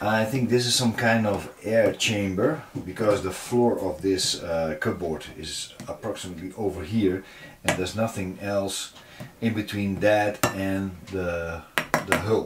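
Noticeable background noise sits behind a man's voice. He speaks fairly slowly with ordinary pitch variation. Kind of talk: casual vlog tutorial. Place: boat.

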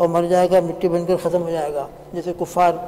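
The speaker is a man with a high pitch. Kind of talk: sermon. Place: church.

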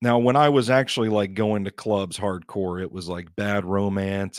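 Against a quiet background, a man speaks at a fairly low pitch with ordinary pitch variation, in a dry sound with no echo. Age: 30s. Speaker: podcast host. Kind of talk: casual monologue. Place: studio. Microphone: studio mic.

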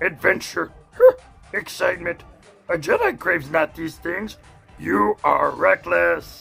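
Over faint music in the background, a man performs a put-on character voice at a fairly slow pace with long, frequent pauses.

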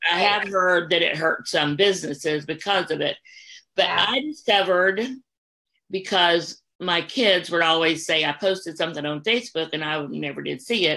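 A bright, sharp tone marks this woman's voice. She speaks at a moderate pace against a quiet background. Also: fairly low pitch for a woman, ordinary pitch variation. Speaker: host of an author talk show. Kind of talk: casual discussion. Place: home room. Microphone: video call.

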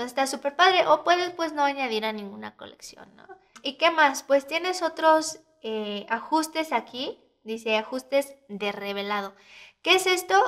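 A woman with a Mexican accent at a moderate pace, with very wide pitch swings and big swings in loudness. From Mexico City. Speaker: photographer and editing tutor. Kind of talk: tutorial. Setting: screen recording. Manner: casual, hesitant fillers.

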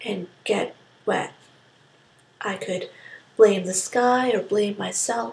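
A woman's speech comes through with noticeable background noise behind it. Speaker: spoken word poet. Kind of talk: spoken word poetry performance. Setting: quick informal recording.

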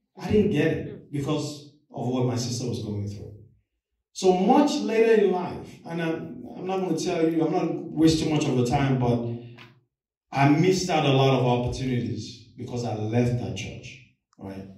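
The intonation is lively, at a moderate pace. Room echo is audible. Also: man. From Nigeria. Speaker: lay preacher. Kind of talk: sermon. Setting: church. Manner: animated. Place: church. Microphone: camera far.

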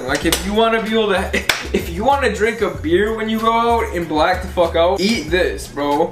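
A man with lively intonation talks fairly quickly while noticeable background noise plays. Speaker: vlogger. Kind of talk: casual vlog chat. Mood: restless, slightly glum, joking. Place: kitchen. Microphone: camera far.

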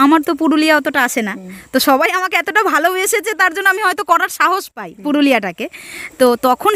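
A woman projects a raised voice at an extremely high pitch with lively intonation, captured in a dry, close sound with no echo. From Nadia district, West Bengal. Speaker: folk singer. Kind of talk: casual interview.

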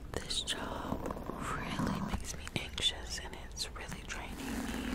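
Dry sound with no echo amid loud background noise. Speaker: ASMR creator. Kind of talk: casual vlog chat. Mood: reflective, talking about anxiety. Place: home room. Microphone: studio mic.

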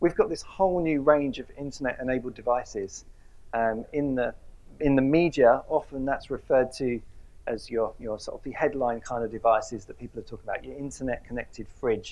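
A man talks at a fairly quick pace with ordinary pitch variation. His loudness swings widely. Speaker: presenter. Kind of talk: lecture. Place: hall. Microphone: lapel.

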